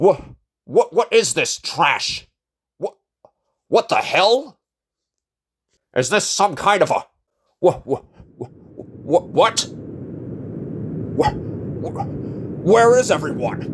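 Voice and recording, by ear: A man puts on a high-pitched character voice with big pitch swings. He talks at a slow pace with long, frequent pauses.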